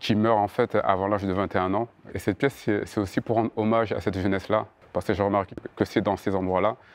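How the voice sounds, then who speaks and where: Over a quiet background with a dry, close sound and no echo, a man speaks very fast at a fairly low pitch, in a monotone, flat intonation and very even loudness. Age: 30s. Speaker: choreographer and dancer. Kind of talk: interview answer. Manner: stutters.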